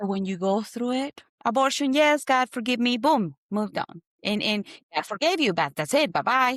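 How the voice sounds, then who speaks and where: A high-pitched woman's voice in a Spanish accent, with very wide pitch swings and a moderate pace, in a dry, close sound with no echo and a very clean recording with a silent background. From Colombia. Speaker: guest sharing personal testimony. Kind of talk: testimony.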